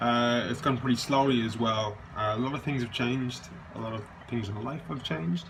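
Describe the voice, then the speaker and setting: Amid noticeable background noise and audible room echo, a man talks at a fairly quick pace with a medium pitch and ordinary pitch variation. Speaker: patient video diarist. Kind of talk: video diary. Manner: halting.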